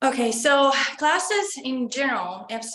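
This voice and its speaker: Audible room echo surrounds a woman's voice. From Estonia. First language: Estonian. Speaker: college student. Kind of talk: interview. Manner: hesitant.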